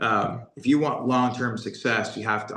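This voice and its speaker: A man with an American accent. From New York (Brooklyn). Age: 30s. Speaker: SEO business owner. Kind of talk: interview.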